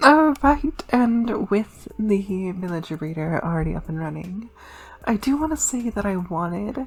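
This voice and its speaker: A somewhat breathy woman at a fairly slow pace, with very wide pitch swings. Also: medium pitch for a woman. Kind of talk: casual gameplay commentary. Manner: casual, hesitant.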